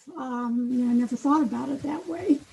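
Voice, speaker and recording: A woman speaks at a high pitch. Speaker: patient experience consultant. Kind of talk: webinar presentation. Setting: webinar.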